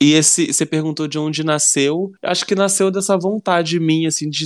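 Recorded dry and close with no echo, a man uses a plain, everyday voice, fairly high in pitch, with fairly even intonation. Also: very clean recording, silent background. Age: 30s. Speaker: writer and screenwriter. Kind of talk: casual interview.

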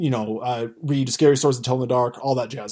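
A man speaks in a normal speaking voice with an American accent, at medium pitch with fairly even intonation. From US, rural farming community. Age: 20s. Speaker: podcaster. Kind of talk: casual chat.

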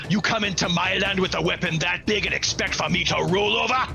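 Against loud background noise, a put-on character voice speaks at a fairly quick pace. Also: man, high pitch for a man. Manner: menacing, snarling.

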